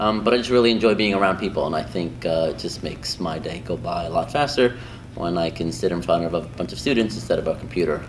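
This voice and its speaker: Amid noticeable background noise, a man with a very deep, low voice speaks at a fairly quick pace. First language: Spanish. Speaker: high school Spanish teacher. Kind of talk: interview answers. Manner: casual, many filler ums.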